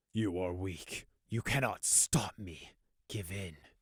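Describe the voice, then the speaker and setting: A man puts on a raspy character voice, pitched very deep and low, at a fairly slow pace. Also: very clean recording, silent background. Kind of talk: audiobook narration. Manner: commanding.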